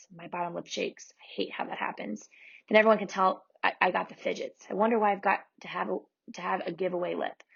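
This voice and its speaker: A woman's raspy, put-on character voice, medium in pitch, rattled off at a very fast pace. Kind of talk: first-person middle-grade storytelling. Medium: read story. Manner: warm, folksy Southern narration.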